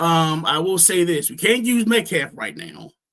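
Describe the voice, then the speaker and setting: A man's raised, projected voice, high-pitched, with ordinary pitch variation and a very slow pace. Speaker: fantasy football podcast host. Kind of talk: casual chat. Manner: halting.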